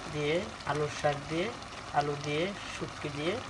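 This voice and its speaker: A woman with a very deep, low pitch talks with fairly even intonation amid noticeable background noise. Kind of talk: cooking demonstration.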